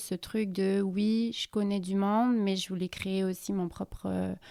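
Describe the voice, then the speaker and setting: A woman speaks at a medium pitch in a flat monotone. The recording is very clean, with a silent background. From southern France. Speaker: expatriate sharing her experience. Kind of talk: casual interview chat. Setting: podcast recording. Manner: hesitant, many fillers.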